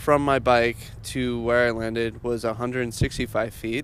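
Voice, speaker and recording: The delivery is monotone and flat, at a moderate pace. The speaker has an American accent. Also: man. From California (Bakersfield). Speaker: metal band member. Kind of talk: interview storytelling.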